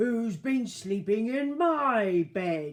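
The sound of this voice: A female-sounding put-on character voice, gruff and fairly high in pitch for a woman, carries the clip.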